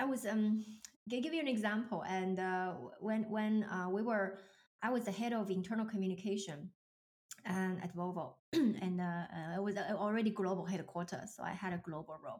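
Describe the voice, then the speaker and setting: A woman with a Chinese accent speaks at a moderate pace, somewhat breathy, with ordinary pitch variation. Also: medium pitch for a woman. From China. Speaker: leadership coach. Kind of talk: casual interview chat.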